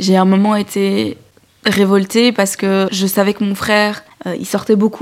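Over noticeable background noise, a woman speaks at a medium pitch. Her pace is fairly slow. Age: 20s. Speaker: young woman giving testimony. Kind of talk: testimony.

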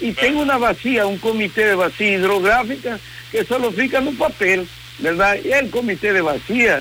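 Projecting a raised voice over noticeable background noise, a man with a Spanish accent speaks at a moderate pace. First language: Spanish (speaking Portuguese). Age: 60s. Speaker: environmental consultant and professor. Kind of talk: radio interview. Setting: remote from home.

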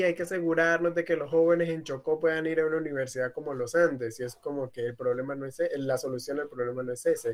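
A man speaks at a very fast pace with fairly even intonation and a fairly high pitch. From Colombian Pacific coast, Tumaco. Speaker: activist. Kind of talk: panel discussion. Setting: video call.

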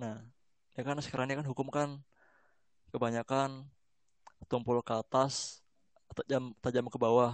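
A man speaks at a moderate pace in a relaxed, monotone voice with flat intonation, leaving long, frequent pauses. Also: medium pitch for a man. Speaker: podcast host. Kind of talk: casual interview. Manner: relaxed, conversational, friendly.

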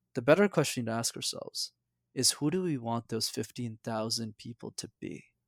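A man with a Canadian accent and an unremarkable speaking voice talks at a moderate pace with a medium pitch and ordinary pitch variation, in a very clean recording with a silent background and a dry, close sound with no echo. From Quebec, Montreal. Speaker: public speaking coach. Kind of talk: interview.

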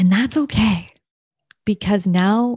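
A woman with a Canadian accent speaks at a moderate pace in a dark, mellow, somewhat breathy tone. Her pitch varies in an ordinary way, and the sound is dry and close with no echo. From Ontario, Canada. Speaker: podcast host and mom coach. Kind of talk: solo podcast monologue.

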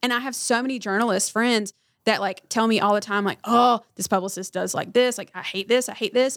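A woman's plain, everyday voice with an American accent, fairly high pitch, fairly even intonation and a fairly quick pace. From North Carolina, Harnett County. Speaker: publicist. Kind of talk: casual interview. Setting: studio.

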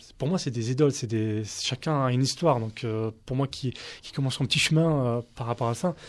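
A man at medium pitch with ordinary pitch variation and a moderate pace. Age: 30s. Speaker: street soccer national team coach. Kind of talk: radio debate.

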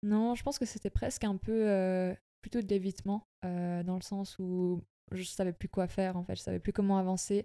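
A woman's dark, mellow voice with fairly even intonation, in a dry, close sound with no echo. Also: medium pitch for a woman, moderate pace. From Switzerland, Bernese Jura. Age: 20s. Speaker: athlete and university student. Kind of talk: interview.

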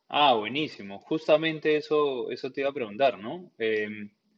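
A man with a Peruvian accent speaks very slowly, his intonation lively. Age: 30s. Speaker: podcast host and homebrewer. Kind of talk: casual interview.

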